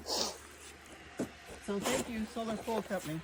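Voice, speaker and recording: The intonation is fairly even at a moderate pace. Background noise is noticeable. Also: woman. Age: 70s. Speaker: customer giving a testimonial. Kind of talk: testimonial. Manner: hesitant with fillers.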